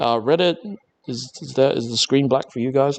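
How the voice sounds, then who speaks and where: Using an Australian accent, a man speaks at medium pitch and a moderate pace with ordinary pitch variation. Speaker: maker livestreamer. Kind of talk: live stream chat. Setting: workshop. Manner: halting.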